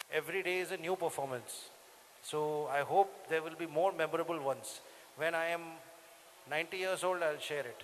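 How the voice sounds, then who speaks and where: Though he talks at a fairly quick pace, a high-pitched man leaves long, frequent pauses. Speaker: sitar player. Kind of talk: Q&A with school students. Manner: playful, animated.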